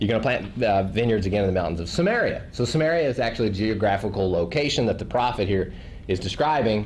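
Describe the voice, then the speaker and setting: A man with a Tennessee accent speaks at medium pitch with lively intonation. Noticeable background noise and audible room echo fill the recording. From Tennessee, rural. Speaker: missionary and podcaster. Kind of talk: testimony to a church group. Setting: small group gathering. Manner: casual, conversational.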